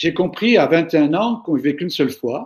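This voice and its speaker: A man speaks at a moderate pace. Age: 60s. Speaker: management speaker. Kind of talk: webinar Q&A. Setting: online webinar. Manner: hesitant, with fillers.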